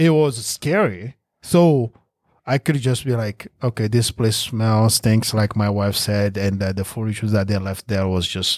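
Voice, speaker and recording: A man with a French accent speaks fairly slowly in a fairly low pitch, with ordinary pitch variation. The recording is very clean, with a silent background and a dry, close sound with no echo. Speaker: real estate investor. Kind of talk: podcast interview.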